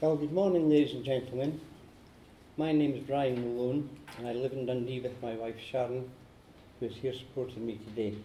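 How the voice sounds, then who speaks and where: In a Scottish accent, a somewhat breathy, dark and mellow voice moves at a fairly quick pace with long, frequent pauses amid audible room echo. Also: man, medium pitch for a man, fairly even intonation. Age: 60s. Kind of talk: prepared speech.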